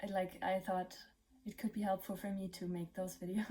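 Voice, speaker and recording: A woman's medium-pitched, somewhat breathy voice with a dark, mellow tone, monotone, flat intonation and a German accent. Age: 20s. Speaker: vlogger. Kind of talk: casual vlog monologue. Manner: halting, many fillers.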